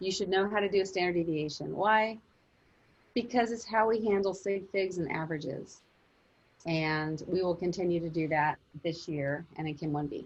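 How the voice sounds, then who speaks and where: With ordinary pitch variation and a moderate pace, a woman talks in a normal speaking voice. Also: fairly low pitch for a woman. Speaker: chemistry teacher. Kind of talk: online class lecture. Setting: video call.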